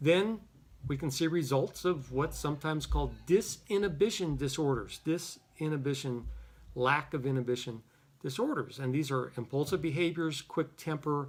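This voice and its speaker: A somewhat breathy man with a fairly high pitch, ordinary pitch variation, and a moderate pace. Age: 60s. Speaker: psychologist. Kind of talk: lecture. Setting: office. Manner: casual.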